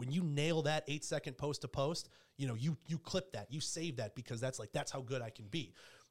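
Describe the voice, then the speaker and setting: An animated, somewhat breathy man at a fairly quick pace with ordinary pitch variation. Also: fairly high pitch for a man. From Michigan, US Midwest. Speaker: hockey and baseball play-by-play broadcaster. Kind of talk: casual interview. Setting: studio.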